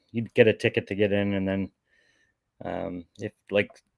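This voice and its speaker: A man with a Boston accent, fairly low-pitched, in a dry, close recording with no echo. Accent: Boston accent, noticeable. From Boston, Massachusetts. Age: 40s. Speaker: lawn care business owner. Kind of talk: interview.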